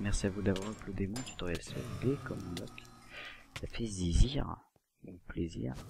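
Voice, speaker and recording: This soft-spoken man has a fairly low pitch and lively intonation. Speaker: gaming youtuber. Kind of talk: gameplay commentary. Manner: quiet to avoid noise.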